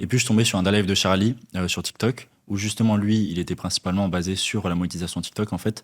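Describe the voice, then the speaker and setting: A man speaks at a fairly low pitch. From southern France, Toulouse. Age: 20s. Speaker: young online entrepreneur, TikTok creator. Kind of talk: podcast interview. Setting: in person podcast studio in Paris.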